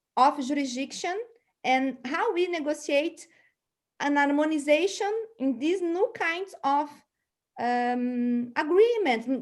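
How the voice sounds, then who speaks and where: A woman with a Portuguese accent speaks very slowly at a high pitch, her intonation lively. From Brazil. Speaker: seminar moderator. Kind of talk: panel discussion. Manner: halting.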